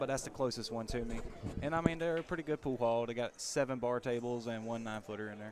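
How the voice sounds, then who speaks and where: A man talks very fast at a medium pitch, his pitch varying in an ordinary way. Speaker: pool table refurbisher and guest commentator. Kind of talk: casual chat.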